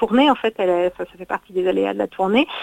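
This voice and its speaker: The audio is dry and close, without any echo. A woman's voice is heard. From Normandy, France. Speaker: festival founder and director. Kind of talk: interview.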